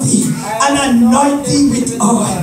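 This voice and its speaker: At a very slow pace, the speech carries audible room echo with music playing in the background. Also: man. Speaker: evangelist preacher. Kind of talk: sermon scripture reading. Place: church. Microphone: phone near.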